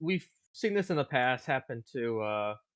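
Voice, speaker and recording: A man talks at a fairly slow pace. His pitch moves in very wide swings. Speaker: podcast co-host. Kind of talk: casual podcast talk.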